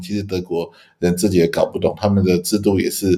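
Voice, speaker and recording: A man's fairly low voice with a dark, mellow tone, at a fairly quick pace. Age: 50s. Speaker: law professor. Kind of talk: casual chat. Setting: overseas call.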